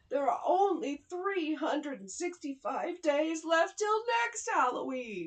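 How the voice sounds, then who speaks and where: In a put-on character voice, a woman speaks at an extremely high pitch and a fairly slow pace, her pitch swinging very widely. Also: hardly any pauses. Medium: read story. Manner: anxious.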